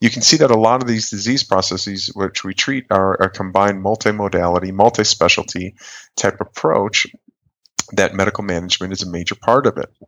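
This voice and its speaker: A man with an American accent talks at a fairly quick pace in a plain, everyday voice. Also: fairly low pitch for a man, ordinary pitch variation. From US Midwest, northern Wisconsin. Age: 40s. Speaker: colorectal surgeon. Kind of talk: interview.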